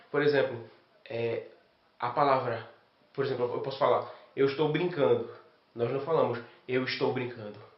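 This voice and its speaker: Noticeable background noise and audible room echo can both be heard as this man talks. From Brazil, Recife (Pernambuco). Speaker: exchange student. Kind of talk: interview testimony.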